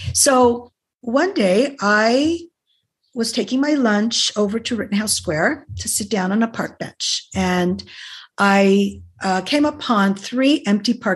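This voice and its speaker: A somewhat breathy woman speaks at a fairly high pitch with lively intonation. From US Pacific Northwest (Portland, Oregon), born in Detroit. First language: Greek. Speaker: author. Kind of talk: podcast interview.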